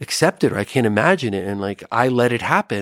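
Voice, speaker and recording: This man has an ordinary speaking voice at a medium pitch and a moderate pace. The sound is dry and close with no echo, on a very clean recording with a silent background. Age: 50s. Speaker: psychiatrist. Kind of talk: casual chat.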